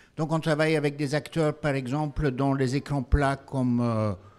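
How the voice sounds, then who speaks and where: Fairly slow speech with ordinary pitch variation over music in the background. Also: man. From Belgium. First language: not French (speaking French). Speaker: company founder and CEO. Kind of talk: panel discussion.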